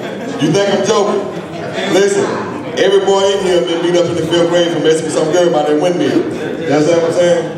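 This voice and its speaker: A man with a high voice talks very fast but breaks often with long pauses, his intonation fairly even over noticeable background noise. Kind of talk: casual banter with live audience.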